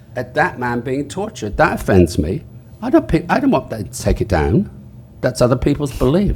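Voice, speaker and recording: Speech in an English accent comes at a fairly quick pace with very wide pitch swings. Noticeable background noise sits behind it. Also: man, medium pitch for a man. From England. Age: 70s. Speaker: author. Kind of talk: panel discussion.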